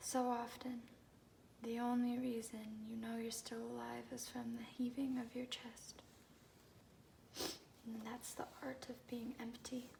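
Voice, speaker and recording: Soft-spoken, fairly slow speech with long, frequent pauses over noticeable background noise. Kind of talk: soft-spoken ASMR poetry reading. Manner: soft-spoken, calming.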